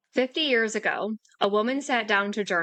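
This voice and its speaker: In an ordinary speaking voice, a woman at medium pitch with ordinary pitch variation speaks at a fairly slow pace. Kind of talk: podcast intro narration.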